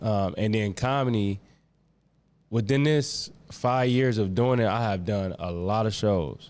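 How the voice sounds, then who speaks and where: In an American accent, a man talks at a fairly slow pace in a normal speaking voice, fairly low in pitch with ordinary pitch variation. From Atlanta, US South. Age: 30s. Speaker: spoken word poet and comedian. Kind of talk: casual chat.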